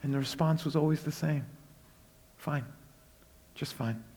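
Pausing long and often, a man with a fairly high pitch speaks at a moderate pace with fairly even intonation. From Brooklyn, New York (Puerto Rican family). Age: 40s. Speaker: guest preacher. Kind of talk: sermon.

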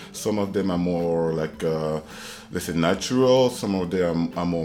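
A man's very deep, low voice at a moderate pace, with noticeable background noise. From Ivory Coast, Abidjan. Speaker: creative technologist. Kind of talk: interview. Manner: halting, many fillers.

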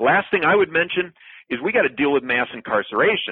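A man with a Wisconsin accent talks at a very fast pace. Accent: Upper Midwest (Wisconsin). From rural Wisconsin, Clark County. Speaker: political candidate. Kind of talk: interview. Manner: repetitive, stumbling restarts.

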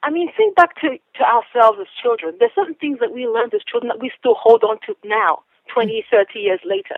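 A woman's high-pitched voice with very wide pitch swings at a fairly quick pace. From England then Nigeria. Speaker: children's author and educator. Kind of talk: radio interview.

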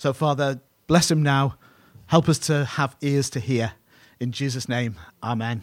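A man with a British accent speaks at fairly high pitch with fairly even intonation and long, frequent pauses. The recording is very clean, with a silent background. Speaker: pastor. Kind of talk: sermon. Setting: church. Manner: halting.

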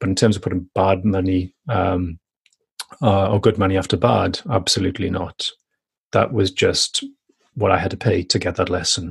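This voice has a Welsh accent and is somewhat breathy. Its intonation stays fairly even. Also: man, dry, close sound with no echo. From Welsh valleys. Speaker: podcast guest, coach. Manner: reflective, hesitant with fillers.

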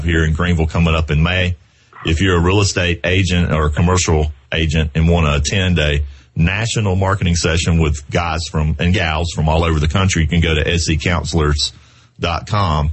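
A man's very deep, low voice with a Southern US accent, fairly quick pace, very even loudness and ordinary pitch variation, over noticeable background noise. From US South, South Carolina. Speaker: podcast host, real estate professional. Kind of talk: casual chat.

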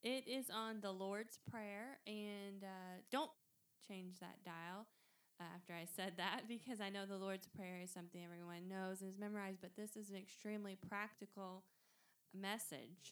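An ordinary speaking voice, a woman's, medium in pitch, at a moderate pace with fairly even intonation. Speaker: podcast co-host, pastor's wife. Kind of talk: casual podcast intro. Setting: podcast recording while out of town.

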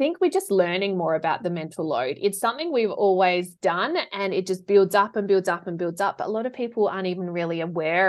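At a fairly quick pace, a woman speaks at a medium pitch with ordinary pitch variation. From South Australia. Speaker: professional organiser and declutter coach. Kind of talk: casual interview chat.

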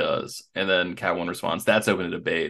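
Against a quiet background, a man talks at a very fast pace in an animated tone. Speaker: podcast host. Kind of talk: casual podcast chat. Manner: animated, joking.

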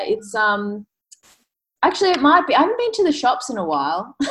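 A woman with an Australian accent and very wide pitch swings. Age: 20s. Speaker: fitness coach and bikini competitor. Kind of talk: casual interview chat.

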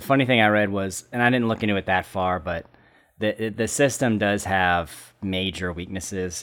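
An ordinary speaking voice with an American accent talks at a moderate pace on a very clean recording with a silent background. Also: man. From Southern California. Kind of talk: casual chat.

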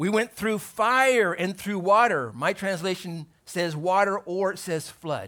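A raised, projected voice with a bright, sharp tone speaks in an American accent. The pace is fairly slow, with ordinary pitch variation. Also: man, high pitch for a man. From US West Coast, Torrance, California. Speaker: pastor. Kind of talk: sermon. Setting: church with congregation.

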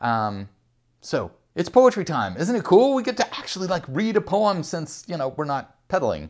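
The recording is very clean, with a silent background. A man speaks at a moderate pace and a high pitch, with very wide pitch swings. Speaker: podcast host and poet. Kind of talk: poem reading; casual chat. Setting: home couch. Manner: warm, relaxed, conversational.

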